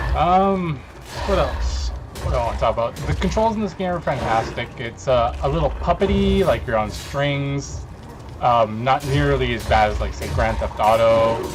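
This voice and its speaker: Music sits in the background. The recording has audible room echo. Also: man. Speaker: gaming youtuber. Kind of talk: gameplay commentary. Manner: mumbling; loud. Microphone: poor sound quality.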